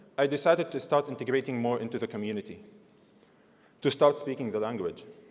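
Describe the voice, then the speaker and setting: A man with a non-native accent at a very fast pace, lively intonation and long, frequent pauses. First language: not English. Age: 20s. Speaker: graduating student speaker. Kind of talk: convocation speech.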